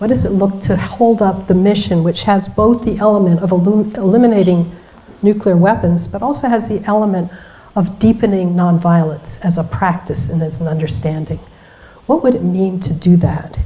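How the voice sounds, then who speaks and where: A woman talks at a moderate pace with a medium pitch. Her pitch variation is ordinary, and background noise is noticeable. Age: 60s. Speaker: keynote speaker, magazine founder. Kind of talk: keynote speech.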